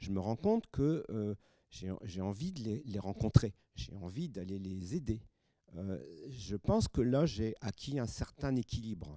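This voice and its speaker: A man's dark, mellow tone, with very wide pitch swings and a fairly slow pace. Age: 70s. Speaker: audience member. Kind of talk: audience discussion. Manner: halting.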